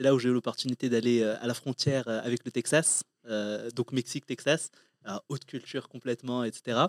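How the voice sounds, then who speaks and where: A man's normal speaking voice at a medium pitch, with fairly even intonation, in a dry, close recording with no echo and a silent, very clean background. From Morocco. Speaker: entrepreneur. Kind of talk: interview. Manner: casual.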